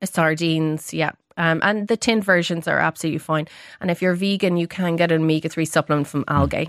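Very fast and very even in loudness, a woman with an Irish accent speaks in a fairly low pitch with fairly even intonation, the sound dry and close with no echo and the recording very clean over a silent background. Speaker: registered dietitian. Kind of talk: expert interview on radio. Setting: radio studio.

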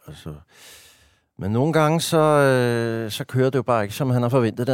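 In a very clean recording with a silent background, a man's voice sounds dry and close, with no echo. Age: 50s. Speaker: stand-up comedian and writer. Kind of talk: casual interview conversation. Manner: talkative.

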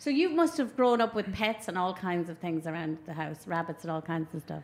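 A woman with an Irish accent talks at a fairly quick pace with hardly any pauses, her fairly low voice showing ordinary pitch variation. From Ireland. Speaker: podcast host. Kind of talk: casual chat. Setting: live outdoor event.

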